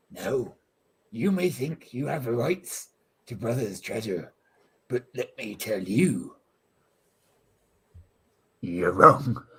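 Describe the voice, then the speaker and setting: A put-on character voice drags along at a very slow pace with long, frequent pauses. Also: man, medium pitch for a man. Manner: swaggering, pirate talk.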